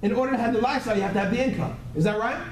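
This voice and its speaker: An animated voice with an American accent, audible room echo and noticeable background noise. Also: man. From US Northeast. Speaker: motivational business trainer. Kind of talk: training seminar talk to live audience. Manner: fast.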